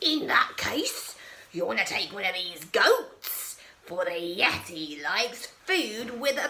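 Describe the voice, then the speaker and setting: A woman growls in a put-on character voice with an angry tone and a fairly high pitch. She speaks at a fairly slow pace. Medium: read story. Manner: growling, angry.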